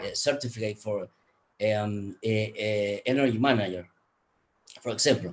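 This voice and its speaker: Fairly slow and fairly even in intonation, a man with a fairly low voice speaks with a Spanish accent. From Guatemala. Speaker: energy efficiency expert, conference speaker. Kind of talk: conference presentation. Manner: halting, many fillers.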